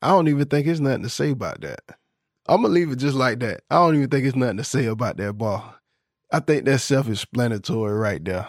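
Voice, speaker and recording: A man with an American accent, medium pitch, lively intonation and a very fast pace, on a very clean recording with a silent background. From Florida, US South. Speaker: podcast host. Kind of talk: podcast episode breaking down song lyrics. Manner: casual, conversational, upbeat.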